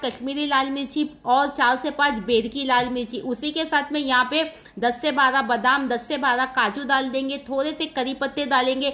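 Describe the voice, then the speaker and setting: A raised, projected voice with a bright, sharp tone speaks at a fairly slow pace with hardly any pauses. The intonation stays fairly even. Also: woman. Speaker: cooking vlogger. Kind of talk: cooking tutorial. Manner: chatty. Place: kitchen. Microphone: phone near.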